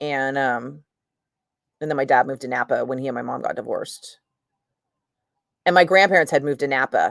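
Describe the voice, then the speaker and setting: Speaking with a Northern California accent, a woman uses an animated tone at a moderate pace. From San Francisco Bay Area, Fairfield. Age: 50s. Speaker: radio DJ. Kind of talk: casual live-stream chat.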